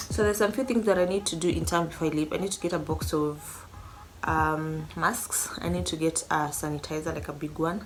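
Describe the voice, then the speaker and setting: With audible room echo and noticeable background noise, a woman talks at a fairly quick pace in a very deep, low pitch. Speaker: vlogger. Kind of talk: casual vlog talk to camera. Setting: at home.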